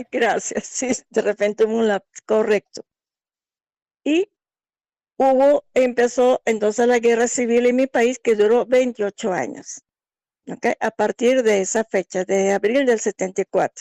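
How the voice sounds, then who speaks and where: In a dry, close recording with no echo, a woman with a dark, mellow tone talks fairly slowly at a fairly high pitch with fairly even intonation. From Angola. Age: 60s. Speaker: migrant sharing her life story. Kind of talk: interview testimony.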